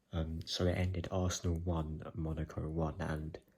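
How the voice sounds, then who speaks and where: A man speaks quietly in a very deep, low, somewhat breathy voice with monotone, flat intonation. The recording is very clean, with a silent background. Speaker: football fan vlogger. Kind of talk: casual video commentary. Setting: at home, late evening. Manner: quiet, hushed.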